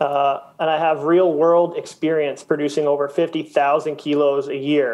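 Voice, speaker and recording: This man's voice sits at a fairly high pitch. He delivers his words with monotone, flat intonation. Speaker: cannabis grower consultant. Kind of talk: panel discussion. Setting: video call.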